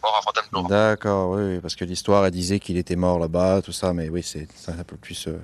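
A man with a very deep, low voice talks at a moderate pace in a flat monotone, with hardly any pauses, over a quiet background. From France, Samois-sur-Seine. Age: 20s. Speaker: musician. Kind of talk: interview. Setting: outdoors.

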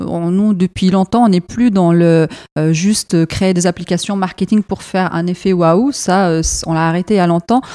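A woman with a slight non-native accent speaks at a fairly slow pace, her tone dark and mellow, her intonation fairly even and her loudness very even. The sound is dry and close with no echo, on a very clean recording with a silent background. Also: medium pitch for a woman. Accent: barely noticeable foreign. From Iraq, left at 7, raised in Europe. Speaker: marketing manager. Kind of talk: interview. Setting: company premises.

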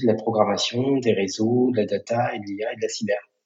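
The delivery is somewhat breathy and moves at a fairly quick pace. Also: man. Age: 40s. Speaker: social entrepreneur, founder of a digital training school network. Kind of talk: podcast interview.

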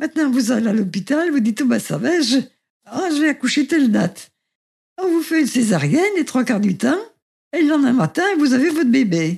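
A high-pitched woman's voice at a fairly quick pace, with very wide pitch swings and long, frequent pauses. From France, Saint-Étienne. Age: 90s. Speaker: great-grandmother sharing birth memories. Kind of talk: testimony. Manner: halting.

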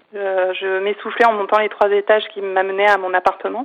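A woman talks at a medium pitch. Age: 40s. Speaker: cancer survivor and comedian. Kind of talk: interview. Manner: halting.

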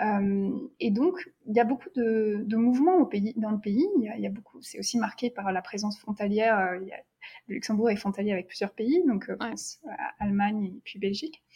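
Pitched fairly high, a woman's voice sounds somewhat breathy. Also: ordinary pitch variation, moderate pace. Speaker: doctoral researcher in neuroeducation. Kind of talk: interview conversation. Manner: hesitant, many fillers and repetitions.

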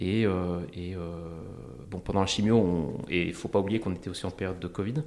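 At a moderate pace, a man with a very deep, low pitch talks with fairly even intonation. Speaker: entrepreneur and investor. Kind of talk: interview testimony. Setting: small meeting room. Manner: calm, quiet; halting.

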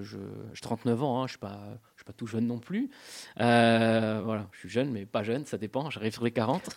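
On a very clean recording with a silent background, a man speaks at a moderate pace and medium pitch, with big swings in loudness. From Corsica, grew up in a village. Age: 30s. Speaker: film director. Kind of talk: radio interview. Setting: radio studio. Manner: halting, repetitive.

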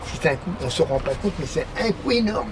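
A man's voice with very wide pitch swings over noticeable background noise. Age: 60s. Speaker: passerby interviewee, former carpenter. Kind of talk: casual chat. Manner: talkative and at ease.

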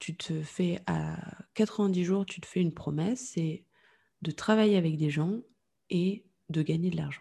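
A woman speaks in a fairly low, dark, mellow voice that is somewhat breathy. She leaves long, frequent pauses against a quiet background. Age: 30s. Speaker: entrepreneur in podcast communication. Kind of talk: interview. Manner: calm, composed.

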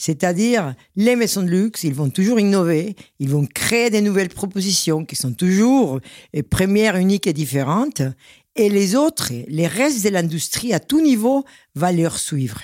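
The background is silent and the recording very clean as the words arrive at a fairly slow pace. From Venezuela. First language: Spanish (speaking French). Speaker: champagne house president. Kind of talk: interview.

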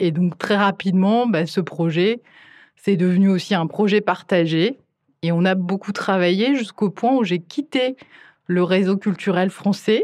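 Over a quiet background, a woman with a medium pitch speaks at a fairly slow pace, with ordinary pitch variation and very even loudness. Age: 40s. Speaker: cinema director and programmer. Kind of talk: interview. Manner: halting.

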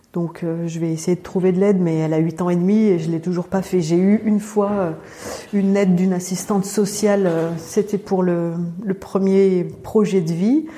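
A woman at medium pitch, fairly even intonation, moderate pace, noticeable background noise. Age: 40s. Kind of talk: interview testimony. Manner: halting, with frequent hesitations.

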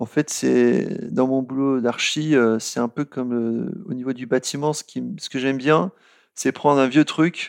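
The recording is dry and close with no echo over a quiet background. A man speaks at a fairly slow pace with a medium pitch and ordinary pitch variation. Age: 40s. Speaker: software architecture manager. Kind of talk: interview. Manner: hesitant, many fillers.

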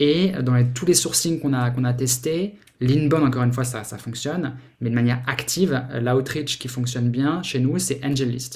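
Somewhat breathy, a man speaks at medium pitch with ordinary pitch variation and a moderate pace. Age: 40s. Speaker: startup founder and CEO. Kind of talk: interview. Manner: halting, many repetitions and fillers.

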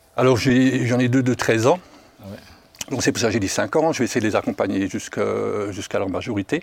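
A man with a medium-pitched voice and ordinary pitch variation talks at a fairly quick pace but takes long, frequent pauses, with noticeable background noise behind him. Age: 60s. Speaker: foster parent with a conversion testimony. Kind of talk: testimony.

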